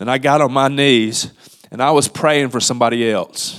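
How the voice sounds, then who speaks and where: Moving at a moderate pace, a man speaks at a medium pitch with monotone, flat intonation. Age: 50s. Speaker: church member giving testimony. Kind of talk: testimony.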